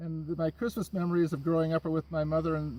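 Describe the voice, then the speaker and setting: At a very fast pace, a man talks with a fairly high pitch and a dark, mellow tone. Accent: Upper Midwest. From Minnesota, Minneapolis. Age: 60s. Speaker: carpenter, show applicant. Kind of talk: audition video interview.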